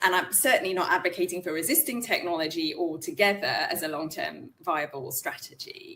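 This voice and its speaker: With a British accent, a woman talks at a fairly quick pace with hardly any pauses. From UK. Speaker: in-house lawyer. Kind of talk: interview conversation.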